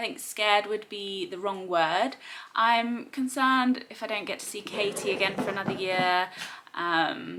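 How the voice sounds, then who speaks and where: Speaking at a moderate pace, a woman uses lively intonation. She has an American accent and a fairly high pitch. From Zimbabwe and South Africa. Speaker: lifestyle vlogger. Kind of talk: casual Q&A vlog. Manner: chatty, warm.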